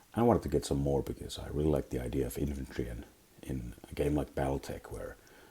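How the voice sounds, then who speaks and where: Vocal fry runs through a dark, mellow tone delivered at a very fast pace with ordinary pitch variation. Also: man. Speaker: miniatures hobbyist. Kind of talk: casual talk to camera.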